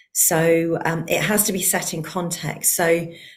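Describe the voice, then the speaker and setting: With a British accent, a woman speaks in a fairly low voice. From UK. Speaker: heart-centred nature connection researcher. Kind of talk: online forum conversation.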